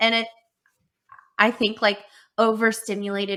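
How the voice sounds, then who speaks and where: A woman speaks loudly at a moderate pace, her medium-pitched voice bright and sharp in tone. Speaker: podcast co-host. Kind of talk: casual podcast chat.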